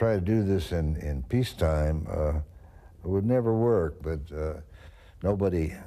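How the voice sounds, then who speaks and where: In a room with audible echo, a man with a very deep, low voice and a dark, mellow tone uses lively intonation at a moderate pace with long, frequent pauses. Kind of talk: documentary interview testimony.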